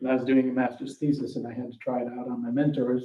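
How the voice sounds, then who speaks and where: Talking very fast, a man with an American accent has a medium pitch and a dark, mellow tone. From New York State. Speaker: professor. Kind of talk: lecture. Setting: lecture hall with audience. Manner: conversational.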